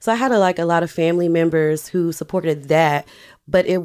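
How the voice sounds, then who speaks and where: This woman has a Southern US accent. Her voice sits fairly low. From US South, Alabama. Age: 30s. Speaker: business owner. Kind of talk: interview.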